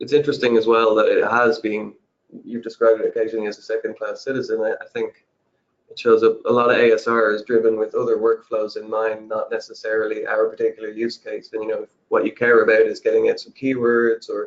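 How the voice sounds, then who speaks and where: A man with an Irish accent, very fast pace, and big swings in loudness. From Ireland. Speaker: subtitling services representative. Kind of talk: webinar discussion. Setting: online webinar.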